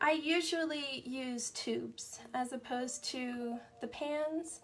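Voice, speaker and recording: Music plays behind a soft-spoken woman with a high pitch. Her pitch variation is ordinary. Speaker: art instructor. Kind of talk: tutorial. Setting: live stream.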